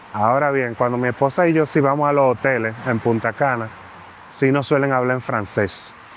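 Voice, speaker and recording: A man speaks with a Dominican accent at medium pitch and a moderate pace. His intonation is fairly even and his loudness very even. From Dominican Republic. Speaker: immigrant interviewee. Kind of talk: interview.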